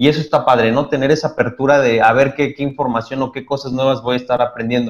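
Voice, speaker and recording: At a very fast pace, a man talks in a medium pitch. His intonation is monotone and flat. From Mexico, Toluca. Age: 30s. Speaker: photographer and triathlete. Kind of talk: casual chat.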